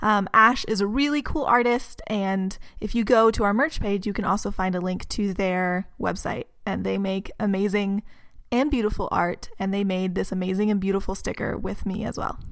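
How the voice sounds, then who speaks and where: This woman has an ordinary speaking voice with an American accent and a medium pitch. She talks at a moderate pace with ordinary pitch variation. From Texas. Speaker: podcast co-host, agriculture worker. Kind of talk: casual chat.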